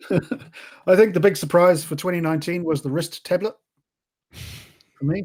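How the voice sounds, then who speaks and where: A man with an Australian accent, high in pitch with ordinary variation, at a moderate pace broken by long, frequent pauses. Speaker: podcast co-host. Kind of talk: casual chat.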